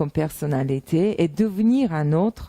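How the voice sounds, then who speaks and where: Speaking in a Russian accent, a woman moves at a very slow pace with very wide pitch swings. Her tone is dark and mellow. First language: Russian (speaking French). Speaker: translator and interpreter. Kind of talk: self-presentation monologue. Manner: hesitant, many fillers.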